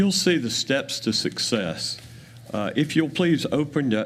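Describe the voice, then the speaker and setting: An American accent marks this man's speech. He talks at a moderate pace with ordinary pitch variation. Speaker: community project presenter. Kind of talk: public presentation at county meeting. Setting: county commission meeting room.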